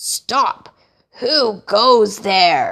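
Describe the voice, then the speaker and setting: A put-on character voice sounds female and is high-pitched. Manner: gruff, tough.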